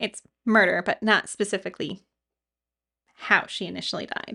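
Long, frequent pauses and big swings in loudness at a moderate pace, in a dry, close sound with no echo. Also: woman. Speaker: podcast co-host. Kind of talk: true-crime narration, scripted storytelling of the case in a measured, serious tone. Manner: measured, serious, steady.

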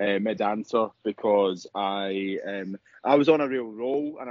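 Recorded dry and close with no echo, a man speaks with ordinary pitch variation.

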